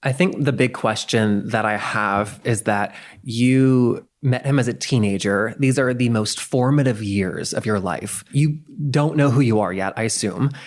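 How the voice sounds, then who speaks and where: A man uses an ordinary speaking voice, moving at a fairly slow pace with ordinary pitch variation. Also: medium pitch for a man. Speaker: podcast host. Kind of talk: interview question.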